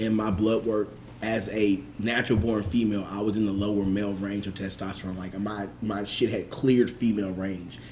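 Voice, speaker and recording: Amid noticeable background noise and audible room echo, a man talks at a fairly quick pace with a fairly low pitch and fairly even intonation. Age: 30s. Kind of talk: casual chat.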